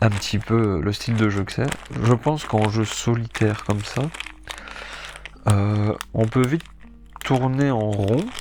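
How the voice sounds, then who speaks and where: Over music in the background, a man with a fairly low pitch talks at a fairly slow pace, with ordinary pitch variation and long, frequent pauses. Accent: Belgian. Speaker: board game youtuber. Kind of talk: casual game presentation. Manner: hesitant, many fillers.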